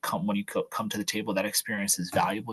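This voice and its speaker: With a New Jersey accent, a man speaks in a fairly low pitch, his sound dry and close with no echo. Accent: New Jersey American. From New Jersey, Monmouth County (Jersey Shore). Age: 20s. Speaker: political staffer. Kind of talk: advice talk at online youth event. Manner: halting, many fillers and restarts.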